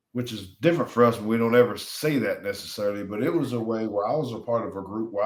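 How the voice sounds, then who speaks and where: With an American accent, a man speaks in an unremarkable speaking voice at medium pitch with lively intonation. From US South (Alabama). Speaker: retired NFL player. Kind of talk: interview.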